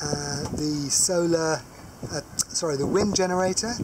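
Very slow speech over noticeable background noise. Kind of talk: casual walkthrough tour. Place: boat. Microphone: phone near.

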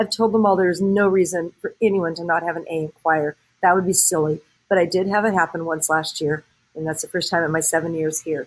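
In an American accent, a woman with a fairly low pitch and a warm tone speaks at a fairly quick pace with fairly even intonation. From Southern California. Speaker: high school choir teacher; choir teacher. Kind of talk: recorded address to parents. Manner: warm, conversational with fillers. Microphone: webcam.

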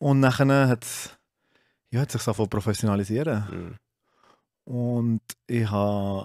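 A man speaks at a very slow pace with long, frequent pauses and ordinary pitch variation. The sound is dry with no echo, and the background is quiet. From Switzerland, Solothurn; Switzerland. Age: 30s. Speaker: CrossFit gym owner; guest. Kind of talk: casual chat. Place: studio. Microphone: studio mic.

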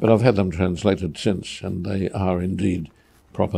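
The man's voice has a dark, mellow tone. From Australia, New South Wales (Goulburn); New South Wales. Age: 80s+. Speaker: artist. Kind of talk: reminiscing interview. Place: workshop.

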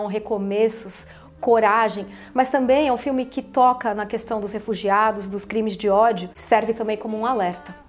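Her voice is a woman's, fairly high in pitch, at a moderate pace. The intonation stays fairly even. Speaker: announcer and TV presenter. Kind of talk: film promotion testimonial to camera. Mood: earnest, engaged. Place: studio. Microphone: lapel.

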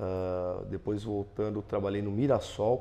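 A man's dark, mellow tone in monotone, flat intonation at a fairly slow pace. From Brazil, Santo André (ABC Paulista, São Paulo); São Paulo state, Brazil. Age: 40s. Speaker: football fitness coach; football coaching staff member. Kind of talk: interview; interview answer. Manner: hesitant with fillers. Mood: calm, positive. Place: studio. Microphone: lapel.

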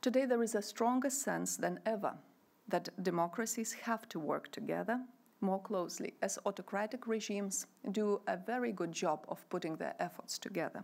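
At a moderate pace, a woman talks with vocal fry. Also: ordinary pitch variation. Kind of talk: formal speech. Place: hall. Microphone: podium.

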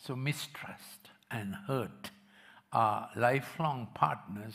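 The pitch variation is ordinary. The voice is a natural reading voice.

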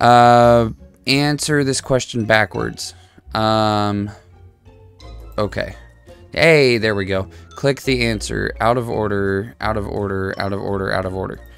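Over faint background music, a man with a fairly low pitch speaks with long, frequent pauses in a dry sound with no echo. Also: ordinary pitch variation, fairly slow pace. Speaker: gamer streamer. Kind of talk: gameplay commentary. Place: home room. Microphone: headset.

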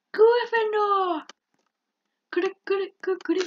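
An extremely high-pitched, put-on character voice from a woman. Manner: booming, announcing.

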